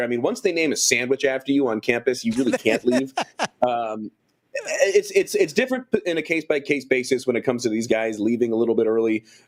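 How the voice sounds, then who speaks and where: At a fairly quick pace, a man uses a normal speaking voice at medium pitch with ordinary pitch variation. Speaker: college sports radio play-by-play announcer. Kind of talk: interview answer.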